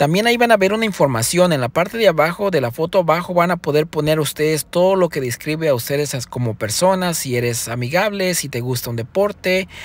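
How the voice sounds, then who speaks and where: This man's voice is fairly high in pitch. He moves at a fairly quick pace with lively intonation. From Mexico, Zihuatanejo, Guerrero. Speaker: rideshare driver and video tutorial host. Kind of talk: tutorial. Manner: casual, hesitant with fillers and repetitions.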